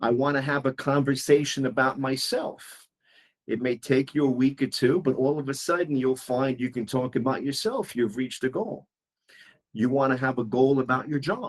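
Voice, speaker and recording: A man with a New York accent talks at a moderate pace, with medium pitch and ordinary pitch variation. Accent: New York American. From US, New York City. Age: 60s. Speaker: English teacher. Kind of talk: one-on-one language lesson.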